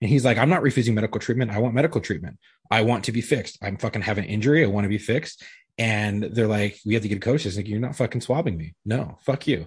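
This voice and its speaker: Somewhat breathy, the voice moves at a very fast pace with ordinary pitch variation over a quiet background. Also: man, fairly low pitch for a man. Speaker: podcast co-host. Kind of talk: casual chat.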